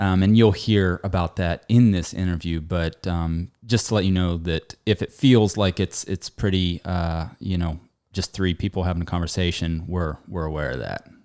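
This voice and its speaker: A man's very deep, low voice at a moderate pace, with fairly even intonation, hardly any pauses and a dry, close sound with no echo. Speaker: podcast host. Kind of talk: casual chat. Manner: halting.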